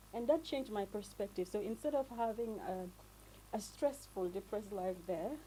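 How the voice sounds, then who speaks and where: With lively intonation, a woman speaks at medium pitch in a dark, mellow tone with vocal fry. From Gambia. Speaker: returnee from studies abroad. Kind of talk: radio interview. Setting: studio. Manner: fast.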